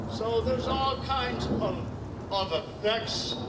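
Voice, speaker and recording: A man speaks over loud background noise. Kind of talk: ceremonial speech. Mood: earnest, reflective. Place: stage. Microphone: podium.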